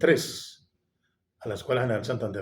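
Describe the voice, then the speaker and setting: Somewhat breathy, a man's voice carries audible room echo. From Colombia, Bogotá. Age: 60s. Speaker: retired police officer. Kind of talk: interview.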